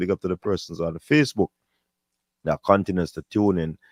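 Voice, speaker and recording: Over a quiet background, a man with a very deep, low pitch and ordinary pitch variation speaks at a fairly quick pace, the sound dry and close with no echo. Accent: Jamaican. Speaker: sports show host. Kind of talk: live stream sign-off. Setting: live stream.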